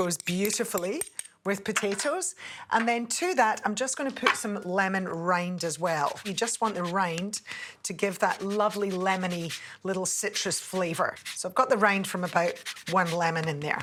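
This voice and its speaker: A woman with a Scottish accent at medium pitch and moderate pace, ordinary pitch variation, over light background noise. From Scotland. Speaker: TV cook; presenter. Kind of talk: cooking tutorial. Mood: warm, cheerful. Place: studio. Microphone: lapel.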